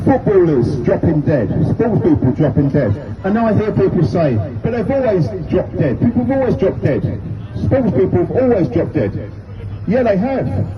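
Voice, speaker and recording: Crowd noise fills the background as a man speaks with a British accent. His fairly high pitch swings very widely. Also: moderate pace. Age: 60s. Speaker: street campaigner, retired teacher and football coach. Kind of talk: street speech to passers-by. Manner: emphatic, repetitive.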